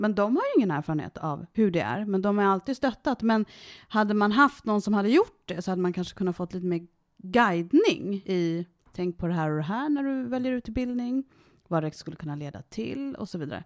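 Speaking in an ordinary speaking voice at medium pitch, a woman talks at a fairly quick pace with lively intonation on a very clean recording with a silent background. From Sweden, Värmdö. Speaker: interviewee, adoptee. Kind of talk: casual interview.

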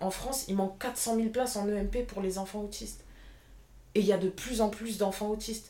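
A woman at a fairly high pitch and moderate pace, her intonation fairly even, with noticeable background noise. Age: 20s. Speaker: apprentice childcare assistant. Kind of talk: interview testimony.

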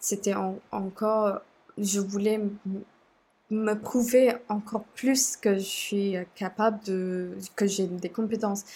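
A woman speaks very slowly at a medium pitch, her dark, mellow tone somewhat breathy and her intonation flat and monotone. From Sri Lanka. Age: 20s. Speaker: communications officer and student. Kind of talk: casual interview conversation. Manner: halting, many hesitations.

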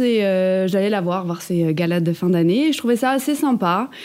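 The speaker is a woman. Her pace is moderate. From France, Ardennes (Charleville-Mézières). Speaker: cabaret dancer. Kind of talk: interview. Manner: hesitant, many fillers.

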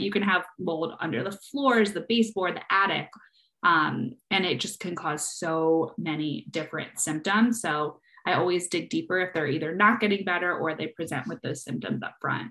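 A woman talks in an ordinary speaking voice, fairly low in pitch. She keeps a moderate pace with ordinary pitch variation. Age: 30s. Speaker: functional nutrition practitioner. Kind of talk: casual interview.

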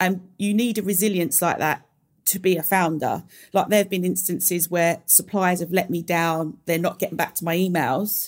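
A woman's voice in a strong London accent, with fairly even intonation. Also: fairly low pitch for a woman, moderate pace. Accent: London accent, strong, drops T's. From London, England. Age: 30s. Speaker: beauty brand founder. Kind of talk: casual interview chat. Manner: relaxed, informal, laughs often.

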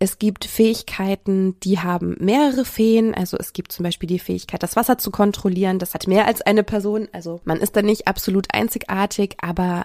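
A woman speaks at medium pitch and a fairly quick pace, with fairly even intonation and a slightly mellow tone. The sound is dry and close with no echo, on a very clean recording with a silent background.

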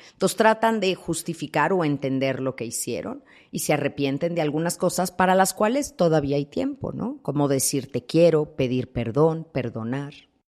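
A woman's very deep, low voice with lively intonation on a very clean recording with a silent background. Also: moderate pace, hardly any pauses. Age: 50s. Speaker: thanatologist. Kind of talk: interview.

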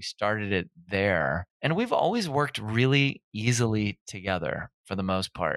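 This man has a normal speaking voice, a fairly low pitch and an American accent, with lively intonation. The recording is very clean, with a silent background and a dry, close sound with no echo. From Minnesota. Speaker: fitness trainer and gym owner. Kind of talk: casual interview.

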